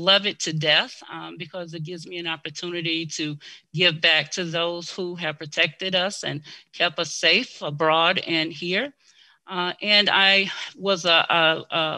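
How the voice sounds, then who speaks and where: Over a quiet background, a woman with an American accent talks at a fairly slow pace in a fairly low pitch. Her tone is bright and sharp, her intonation fairly even, and her loudness swings widely. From US South, Mississippi. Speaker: blind advocate and government worker. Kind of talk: interview. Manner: hesitant with many fillers.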